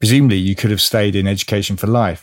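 Speaking very fast, a man talks with a British accent. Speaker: podcast host. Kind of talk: interview. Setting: video call.

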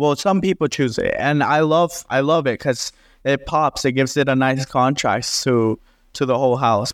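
The man has a plain, everyday voice and a moderate pace. His intonation is fairly even against a quiet background. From Texas, Dallas–Fort Worth area. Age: 20s. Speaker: renovation contractor. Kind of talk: interview.

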